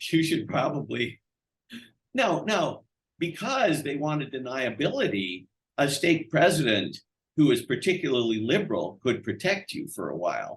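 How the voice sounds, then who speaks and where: A man with a fairly high pitch speaks with vocal fry and very wide pitch swings. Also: moderate pace. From US Midwest, Madison, Wisconsin. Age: 60s. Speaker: economics professor. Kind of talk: interview. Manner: halting, many repeated words.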